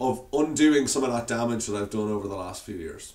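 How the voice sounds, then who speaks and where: A man with an Irish accent. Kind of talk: casual talk to camera.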